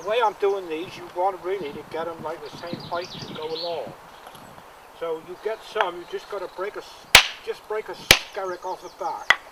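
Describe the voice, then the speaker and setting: Noticeable background noise sits under a man speaking at a moderate pace in a high pitch. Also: fairly even intonation. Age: 70s. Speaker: stone wall builder. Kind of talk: interview. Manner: halting.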